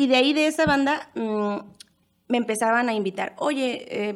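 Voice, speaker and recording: Speaking fairly slowly, a woman uses an ordinary speaking voice, fairly high in pitch with ordinary variation. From Mexico City. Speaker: band singer. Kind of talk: casual chat.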